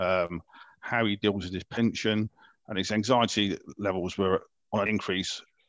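Fairly even intonation is heard in a dry, close sound with no echo. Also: man. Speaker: veterans wellbeing advisor. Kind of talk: recorded podcast interview about a support service. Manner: loud.

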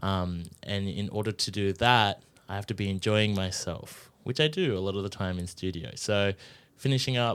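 This man has an Australian accent and a fairly low pitch. He speaks at a moderate pace with ordinary pitch variation. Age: 20s. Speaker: radio presenter. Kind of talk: casual interview. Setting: studio.

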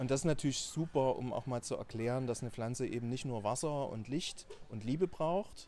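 Speaking with a Saxon accent, a man has a medium pitch and a dark, mellow tone. He talks at a fairly quick pace with ordinary pitch variation. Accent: Saxon, Dresden variety. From Saxony, Dresden. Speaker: scientist and startup founder. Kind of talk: podcast interview.

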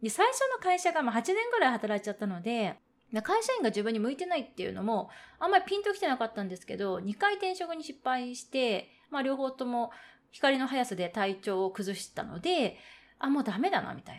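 A woman speaks at a fairly quick pace with a high pitch. Her pitch swings very widely, and her loudness rises and falls sharply. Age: 30s. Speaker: podcast host. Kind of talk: solo monologue. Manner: polite, formal.

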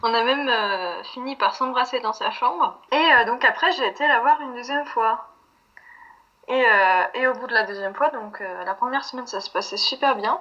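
At a moderate pace, a woman speaks in a high voice with a bright, sharp tone and ordinary pitch variation. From France. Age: 20s. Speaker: interviewee sharing a breakup story. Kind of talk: casual interview. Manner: hesitant, many fillers.

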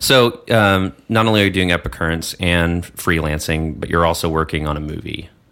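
A man speaks with a very deep, low pitch and a bright, sharp tone in an American accent. He hardly pauses at all. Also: ordinary pitch variation, moderate pace. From Texas. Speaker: podcast host. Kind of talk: casual chat. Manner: hesitant, many fillers.

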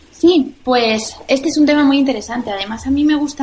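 A woman speaks at a moderate pace, with noticeable background noise present. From Spain, Valencia region. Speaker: restaurant founder and former dancer. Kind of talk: interview. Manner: hesitant with frequent repetitions.

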